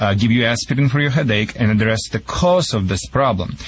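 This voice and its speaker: A man with a Russian accent talks at a very fast pace with ordinary pitch variation. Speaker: dog trainer. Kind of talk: call-in advice show. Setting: remote live link.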